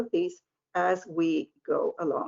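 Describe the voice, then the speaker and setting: A woman speaks with a Spanish accent. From Argentina. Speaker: language professor, presenter. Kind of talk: webinar presentation. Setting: online webinar.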